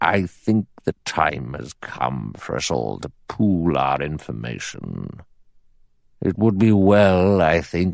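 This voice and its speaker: In a put-on character voice with a very deep, low pitch, a man speaks at a very slow pace while his pitch swings very widely. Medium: read story. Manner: authoritative, measured.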